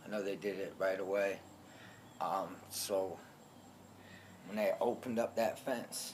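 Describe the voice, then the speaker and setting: Pausing long and often, a man speaks at a fairly slow pace in a monotone, flat intonation. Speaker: alligator attack survivor. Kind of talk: personal testimony. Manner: loud; hesitant, many filler ums.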